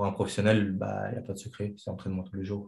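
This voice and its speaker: His voice is fairly low in pitch, with a dark, mellow tone and a somewhat breathy quality. This man speaks in a monotone, with flat intonation. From Chechnya. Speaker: kickboxing coach and former fighter. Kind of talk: interview. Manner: halting.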